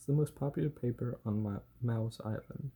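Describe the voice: With ordinary pitch variation, the speaker offers plain reading aloud.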